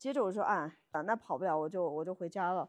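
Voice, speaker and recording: A woman with a normal speaking voice, lively intonation and a fairly quick pace against a quiet background. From Yunnan, China. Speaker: podcast co-host. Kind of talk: casual chat.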